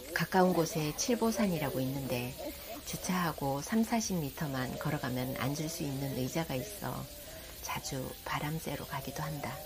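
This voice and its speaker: A woman with a very deep, low pitch speaks at a moderate pace in a calm tone with lively intonation, over noticeable background noise. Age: 50s. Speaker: caregiver of her elderly mother. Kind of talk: vlog voice-over narration. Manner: calm, reflective.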